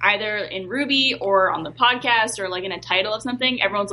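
A woman speaks very fast at a medium pitch over noticeable background noise. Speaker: voice actor. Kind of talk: casual chat.

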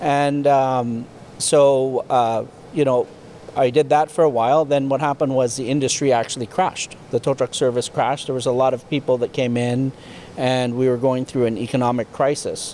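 Monotone, flat intonation at a moderate pace with a Canadian accent, over noticeable background noise. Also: man, medium pitch for a man. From Canada, rural Ontario near Ottawa. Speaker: tow truck manufacturer, business owner. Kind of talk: interview, casual chat. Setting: factory.

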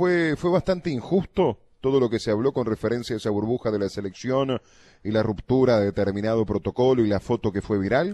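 A man with a Uruguayan accent, a medium pitch and a dark, mellow tone, speaking fairly quickly with lively intonation, the sound dry and close with no echo against a quiet background. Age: 30s. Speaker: radio host. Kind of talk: radio interview. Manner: halting.

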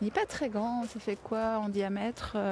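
Speaking at a very slow pace, a woman has a fairly high pitch, a somewhat breathy quality and a dark, mellow tone. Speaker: podcast host and workshop leader. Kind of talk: casual interview. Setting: outdoors on a walk.

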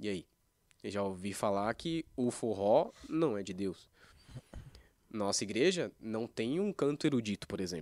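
Fairly low-pitched, a man talks at a fairly slow pace with lively intonation and long, frequent pauses. The recording is very clean, with a silent background and a dry, close sound with no echo. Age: 20s. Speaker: church worship musician. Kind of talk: casual chat.

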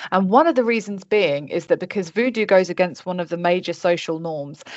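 A woman has an unremarkable speaking voice with a fairly low pitch. She keeps a moderate pace and ordinary pitch variation. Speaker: podcast host. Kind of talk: casual chat. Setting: video call.

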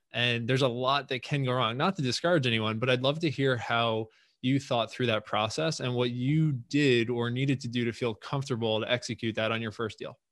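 A man speaks at a fairly quick pace with hardly any pauses, in a medium pitch and an ordinary speaking voice. The recording is very clean, with a silent background. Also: fairly even intonation. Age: 20s. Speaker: podcast host and real estate investor. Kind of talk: interview. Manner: casual.

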